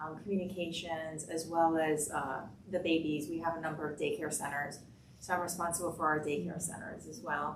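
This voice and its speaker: Noticeable background noise and audible room echo surround a voice talking at a moderate pace. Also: woman. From Cuba, raised in US (Florida) from age six. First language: Spanish. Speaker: healthcare executive. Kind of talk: panel discussion.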